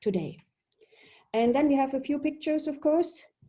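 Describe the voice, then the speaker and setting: A woman with a German accent speaks in a dark, mellow tone with ordinary pitch variation. The background is quiet. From Germany. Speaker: polar expedition leader. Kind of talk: webinar presentation. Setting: video webinar.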